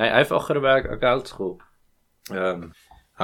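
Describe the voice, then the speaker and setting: A man's intonation is lively, and he talks at a moderate speed. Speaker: podcast co-host. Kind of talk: casual chat. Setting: home recording.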